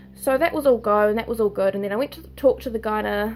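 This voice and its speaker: Someone speaks with a New Zealand accent at a fairly quick pace. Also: woman. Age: 20s. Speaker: nursing student sharing health diagnosis. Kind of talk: personal vlog testimony. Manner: halting.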